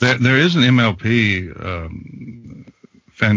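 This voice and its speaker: A man's voice with lively intonation over noticeable background noise. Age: 60s. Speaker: fanfic audiobook narrator. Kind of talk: casual chat.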